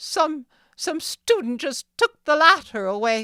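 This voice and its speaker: In a put-on character voice with a high pitch and very wide pitch swings, the speaker talks fairly slowly on a very clean recording with a silent background. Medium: read story. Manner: stammering, piteous.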